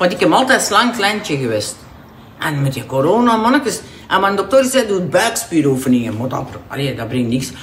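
A woman speaks at a moderate pace, her medium-pitched voice swinging very widely up and down. Noticeable background noise and audible room echo are present. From Flanders, Bornem area (Antwerp province). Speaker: weight-loss client. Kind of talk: casual chat.

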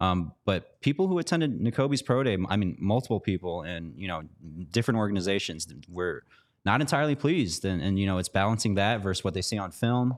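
A man with a plain, everyday voice speaks at a fairly low pitch with lively intonation on a very clean recording with a silent background. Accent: American. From Chicago, US Midwest. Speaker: sports reporter. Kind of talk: casual chat. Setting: studio.

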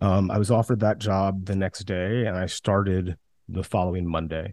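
With an American accent, a man with a very deep, low pitch talks at a fairly quick pace, the sound dry and close with no echo against a quiet background. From US South, West Central Georgia. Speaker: film producer and entrepreneur. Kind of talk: podcast interview.

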